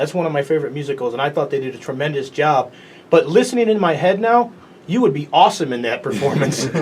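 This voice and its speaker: This man speaks at a very fast pace with lively intonation and a fairly high pitch. Noticeable background noise runs underneath. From Chicago, US. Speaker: sports show host. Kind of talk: interview.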